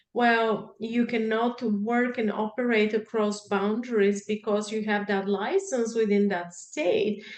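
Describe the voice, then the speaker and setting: Amid noticeable background noise, a woman with a fairly high pitch speaks at a fairly slow pace. Her delivery is monotone and flat, with hardly any pauses. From Bulgaria. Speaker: marriage and family therapy academic. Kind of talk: interview answer.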